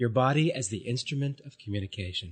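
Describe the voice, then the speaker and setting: Against a quiet background, a man's somewhat breathy, medium-pitched voice has ordinary pitch variation and a dry, close sound with no echo. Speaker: body therapist. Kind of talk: guided affirmation session.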